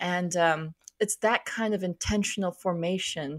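A plain, everyday voice with a dry, close sound and no echo. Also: woman. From US Midwest, Minnesota. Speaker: author and church scholar. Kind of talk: radio interview.

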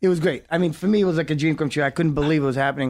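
This man has a fairly high pitch and speaks with a New York accent. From New York, Brooklyn. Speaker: actor and filmmaker. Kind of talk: casual interview. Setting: studio.

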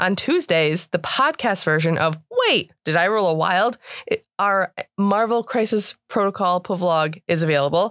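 In an ordinary speaking voice, a woman talks at a fairly slow pace with medium pitch, ordinary pitch variation and very even loudness, recorded very cleanly with a silent background and a dry, close sound free of echo. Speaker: tabletop roleplaying podcast player and co-host. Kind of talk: tabletop roleplaying actual play and casual banter.

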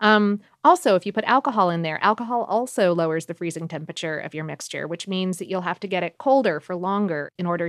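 Against a quiet background, a woman talks fairly quickly in an ordinary speaking voice at a medium pitch. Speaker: podcast host. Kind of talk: casual chat. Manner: casual, filler-heavy.

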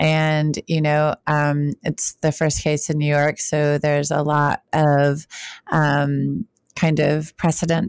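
Her voice is very deep and low for a woman, monotone and flat, in a dry, close sound with no echo. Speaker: podcast co-host, sex researcher. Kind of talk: casual chat.

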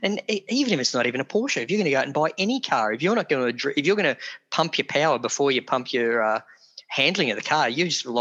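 A man in an Australian accent talks at a very fast pace with lively intonation. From Australia (Geelong, Victoria). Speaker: car owner and enthusiast. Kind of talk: casual interview. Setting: video call. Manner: talkative.

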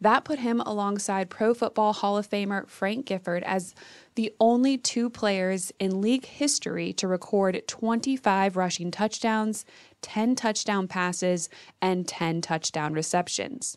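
A woman in a plain, everyday voice at a medium pitch and fairly slow pace, with ordinary pitch variation and a quiet background. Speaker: sports podcast host. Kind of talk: scripted narration.

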